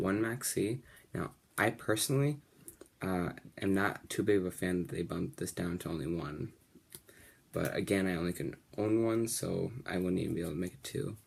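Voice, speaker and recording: Mumbling at a moderate pace, a man with a very deep, low pitch uses lively intonation. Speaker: card game video creator. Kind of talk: deck profile tutorial. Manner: may mumble a little.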